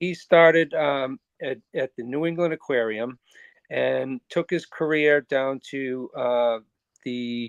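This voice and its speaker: In a Boston accent, a man talks at a very slow pace, his medium pitch showing ordinary variation. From Boston area, US. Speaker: ocean conservation organizer. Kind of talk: podcast interview. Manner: hesitant, many fillers.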